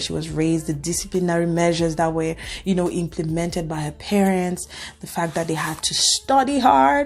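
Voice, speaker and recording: A woman with an African accent, at a moderate pace. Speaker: cybersecurity analyst and video creator. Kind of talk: reaction video monologue. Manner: conversational, with fillers.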